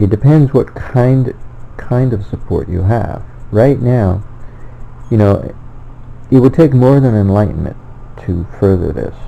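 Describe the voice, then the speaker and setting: Over noticeable background noise, a man of medium pitch speaks at a fairly slow pace with ordinary pitch variation and long, frequent pauses. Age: 60s. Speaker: self-published author and theorist. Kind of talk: personal monologue. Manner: halting, with many fillers and self-corrections.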